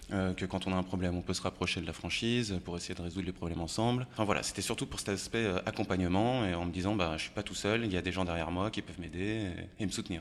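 Speaking very fast, a man uses a very deep, low pitch and fairly even intonation. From France, Haute-Savoie (Annemasse). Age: 30s. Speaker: bar owner. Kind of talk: casual interview.

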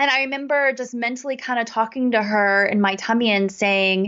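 Speaking at a moderate pace, a woman with an American accent has an unremarkable speaking voice, a fairly high pitch and ordinary pitch variation. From US South. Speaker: life coach. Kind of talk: casual interview chat.

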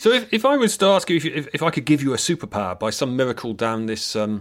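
Using an English accent, a man talks at a medium pitch and a fairly quick pace. His pitch swings very widely. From Britain. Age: middle-aged. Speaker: podcast host, professor of acoustic engineering. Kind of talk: interview. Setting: remote recording.

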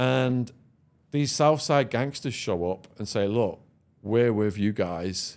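Here is a man with a northern English accent and lively intonation. The recording is very clean, with a silent background. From northern England. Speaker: former drug dealer and podcaster. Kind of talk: storytelling interview. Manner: animated.

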